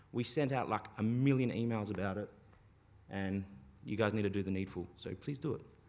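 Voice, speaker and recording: Fairly brisk male speech, its pitch varying in an ordinary way. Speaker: internet exchange representative. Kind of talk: conference talk. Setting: stage with audience. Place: hall.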